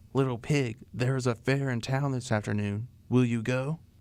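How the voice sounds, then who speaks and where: A man of medium pitch performs in a put-on character voice. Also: moderate pace. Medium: read story. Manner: sly.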